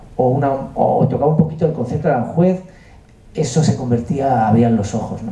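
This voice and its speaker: Audible room echo and noticeable background noise around a moderately paced voice with ordinary pitch variation. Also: man. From Andalusia, Huelva (Spain). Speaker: music producer and composer. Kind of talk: masterclass talk. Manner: hesitant, many fillers.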